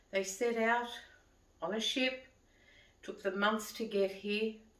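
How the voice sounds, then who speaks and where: A woman talks at a fairly slow pace with an Australian accent. Audible room echo surrounds her voice. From Australia, Sydney. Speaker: vlogger. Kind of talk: casual monologue to camera. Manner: conversational.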